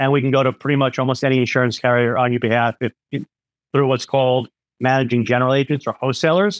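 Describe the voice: Recorded with a dry, close sound and no echo, a man of medium pitch talks at a fast pace with fairly even intonation.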